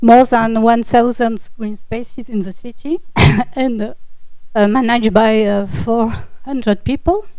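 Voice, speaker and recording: Audible room echo surrounds a woman speaking at a fairly slow pace and a fairly high pitch. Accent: French. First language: French. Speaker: municipal GIS officer. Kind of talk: conference presentation. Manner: halting, many fillers.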